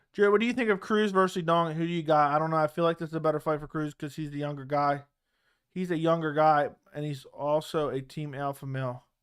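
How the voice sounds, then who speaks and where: At a very fast pace, a man talks with a fairly high pitch and ordinary pitch variation. The recording is very clean, with a silent background. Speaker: MMA livestream host. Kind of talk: live watch-along commentary. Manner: loud, yelling at times.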